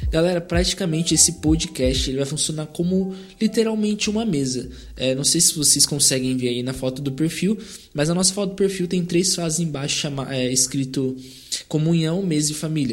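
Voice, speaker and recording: Over music in the background, a man speaks at a moderate pace and fairly high pitch with ordinary pitch variation. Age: 20s. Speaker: church youth leader and podcast host. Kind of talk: casual chat. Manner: hesitant.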